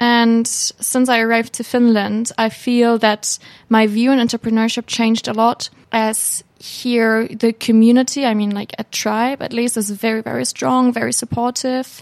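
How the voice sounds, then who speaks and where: With a German accent, a woman speaks at a fairly high pitch in monotone, flat intonation, the sound dry and close with no echo. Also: moderate pace, hardly any pauses. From Hamburg, Germany. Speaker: student intern. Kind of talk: interview. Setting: studio.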